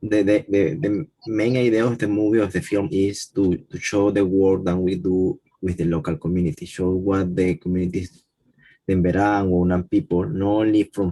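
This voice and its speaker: Speaking with a Spanish accent, a man uses a dark, mellow tone at a fairly low pitch, a moderate pace and ordinary pitch variation. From Panama. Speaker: conservation worker. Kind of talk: panel discussion. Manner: halting.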